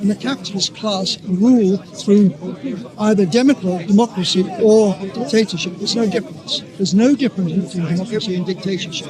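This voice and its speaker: A man talks fairly quickly at a high pitch, his pitch variation ordinary, with noticeable background noise behind him. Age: 80s+. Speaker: communist debater at a public speaking corner. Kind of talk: street debate. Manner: halting, repeats words.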